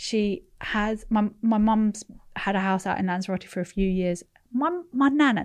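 A woman with a London accent speaks at a fairly high pitch and ordinary pitch variation, over a quiet background. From London, England (born in California, moved at eleven). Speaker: entrepreneur. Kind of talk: casual chat.

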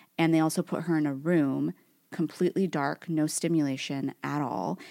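With a Californian accent, a woman talks at a moderate pace in a very deep, low pitch and fairly even intonation. The recording is very clean, with a silent background and a dry, close sound with no echo. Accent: Californian Valley Girl. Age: 30s. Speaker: podcast co-host. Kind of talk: casual chat.

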